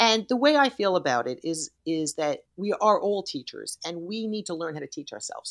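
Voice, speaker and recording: In a very clean recording with a silent background, a woman speaks with hardly any pauses, very wide pitch swings and big swings in loudness. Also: medium pitch for a woman, dry, close sound with no echo. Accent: New York. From New York City. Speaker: yoga teacher and author. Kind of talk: casual interview chat. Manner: fast talker.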